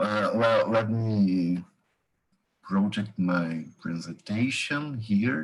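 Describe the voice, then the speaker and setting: A man with a Brazilian accent talks at a very slow pace. His pitch variation is ordinary. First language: Portuguese. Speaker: history professor. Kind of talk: lecture. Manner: halting.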